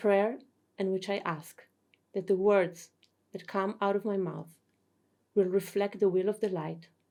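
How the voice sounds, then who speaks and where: In a dark, mellow tone, a woman speaks at a fairly slow pace and a medium pitch. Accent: non-native. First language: not English. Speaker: spiritual teacher. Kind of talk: lecture. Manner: formal.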